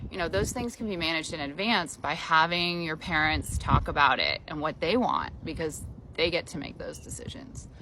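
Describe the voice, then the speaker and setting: A woman's bright, sharp tone with vocal fry and ordinary pitch variation. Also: fairly low pitch for a woman, moderate pace. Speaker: elder law attorney. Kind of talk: informal explainer talk. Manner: conversational, many filler ums.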